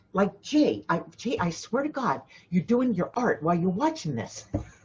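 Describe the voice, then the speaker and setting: A woman speaks fairly slowly at medium pitch, somewhat breathy. Her pitch swings very widely. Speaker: spiritual intuitive and life coach. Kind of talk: live stream talk. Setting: live video stream. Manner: soft-spoken; halting, many fillers.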